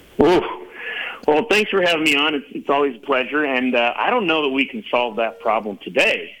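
A man talks at a fairly quick pace and a fairly high pitch, with very wide pitch swings and noticeable background noise. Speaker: company CEO guest. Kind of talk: casual interview. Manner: measured, explanatory.

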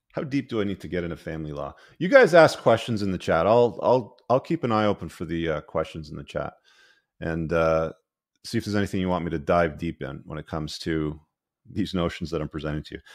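A man's very deep, low voice at a very fast pace, animated in tone, against a quiet background. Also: ordinary pitch variation. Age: middle-aged. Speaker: podcast host and author. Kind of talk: live-streamed podcast with call-ins. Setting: live stream studio.

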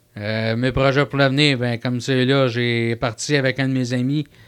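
Speaking at a moderate pace with monotone, flat intonation, this voice has a Quebec accent on a very clean recording with a silent background. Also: man. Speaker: wrestling manager. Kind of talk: interview.

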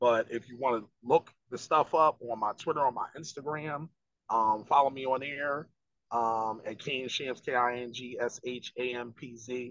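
A man with a Philadelphia accent speaks at medium pitch with fairly even intonation. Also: dry, close sound with no echo. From West Philadelphia. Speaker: rapper. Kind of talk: casual interview.

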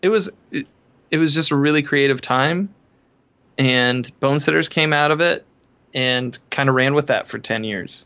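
A man with an American accent talks at a fairly slow pace with fairly high pitch, ordinary pitch variation and long, frequent pauses. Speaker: musician. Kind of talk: casual interview chat.

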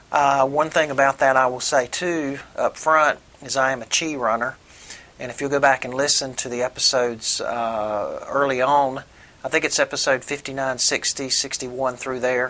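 Bright, sharp tone from a man with a Southern US accent, medium pitch, monotone, flat intonation, and a fairly slow pace. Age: 50s. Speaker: podcast host, recreational runner. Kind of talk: solo podcast monologue. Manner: halting, many fillers.

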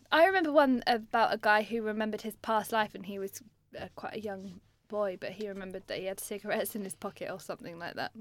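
A woman with a British accent talks at a very fast pace. Her pitch variation is ordinary, and her loudness swings widely. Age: 30s. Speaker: podcast co-host. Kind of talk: casual chat. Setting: studio.

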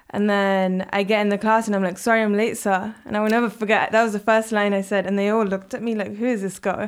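At a very fast pace, a woman speaks with a medium pitch and monotone, flat intonation in a very clean recording with a silent background. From England. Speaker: co-op founder. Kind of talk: interview.

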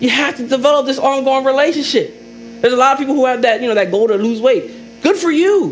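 An extremely high-pitched man's voice, animated in tone and lively in intonation, at a very fast pace with noticeable background noise and audible room echo. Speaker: pastor. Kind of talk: sermon.

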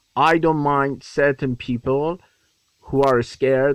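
A man at a medium pitch, fairly slow and fairly even in intonation, with a dry, close sound and no echo. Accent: Iranian. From Iran. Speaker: actor. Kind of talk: voicemail message. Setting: phone voicemail.

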